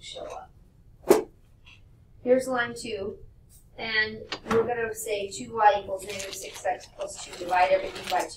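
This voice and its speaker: Against noticeable background noise and audible room echo, a woman talks at a fairly slow pace. Her loudness swings widely. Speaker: math teacher. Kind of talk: classroom lecture.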